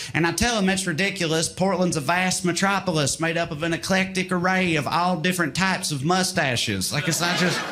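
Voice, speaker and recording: With a Southern US accent, a man talks in a high pitch at a fairly quick pace, barely pausing, his intonation fairly even against noticeable background noise. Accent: Southern American. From rural Tennessee. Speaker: stand-up comedian. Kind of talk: stand-up comedy set.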